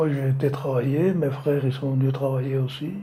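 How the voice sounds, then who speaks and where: Amid audible room echo, a man speaks at a moderate pace and fairly high pitch with flat, monotone intonation. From France, Savoie (Maurienne valley). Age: 80s+. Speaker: retired slate quarryman. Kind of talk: oral history testimony. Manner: halting.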